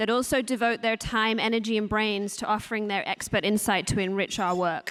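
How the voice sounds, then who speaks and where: Speaking with a strong English accent, this woman is heard. Her pitch is fairly high. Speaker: nonprofit deputy director. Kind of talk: speech at a luncheon.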